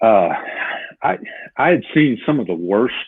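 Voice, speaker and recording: Delivered at a moderate pace, the speech carries lively intonation. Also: man. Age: 60s. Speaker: retired police officer and leadership trainer. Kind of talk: interview.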